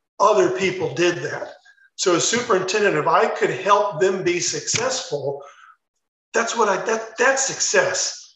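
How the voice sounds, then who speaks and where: A man with an American accent speaks at a fairly slow pace in a high pitch. Room echo is audible. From US Midwest, Chicago suburbs. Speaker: retired school superintendent. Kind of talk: interview.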